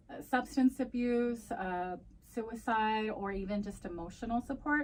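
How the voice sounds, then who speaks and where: A somewhat breathy woman's voice at medium pitch with ordinary pitch variation. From US, Mexican-American family. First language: Spanish. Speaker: crisis program manager and community advocate. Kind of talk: interview, casual bilingual chat. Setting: podcast.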